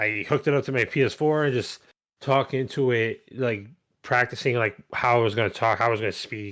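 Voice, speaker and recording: Speaking at a fairly quick pace, a man with a medium pitch keeps his intonation fairly even on a very clean recording with a silent background. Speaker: gaming podcast host. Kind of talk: casual chat.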